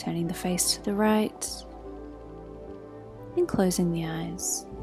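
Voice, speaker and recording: Music plays behind a woman speaking in a calm tone. Her pace is very slow. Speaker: yoga teacher. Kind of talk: guided yoga class instruction. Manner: soft, slow, calm.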